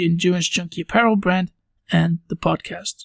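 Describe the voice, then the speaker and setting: A man moves at a fairly quick pace, the sound dry and close with no echo. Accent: Belgian. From Belgium, near Brussels. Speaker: podcast host. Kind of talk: podcast monologue.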